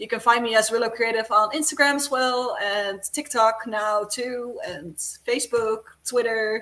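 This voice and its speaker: A woman with a Dutch accent speaks at a fairly slow pace with hardly any pauses, in a fairly high, bright and sharp voice whose pitch varies in an ordinary way while its loudness swings widely. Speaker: cosplayer and prop maker. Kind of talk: casual chat.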